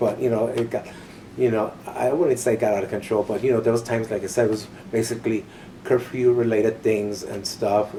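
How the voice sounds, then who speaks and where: A man with an American accent speaks at a medium pitch in a monotone, flat intonation. Noticeable background noise sits behind him. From Los Angeles, California. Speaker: boarding school survivor. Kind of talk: oral history interview. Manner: halting, many fillers.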